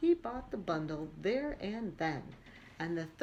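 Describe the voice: Someone reads aloud plainly. The text is delivered as written.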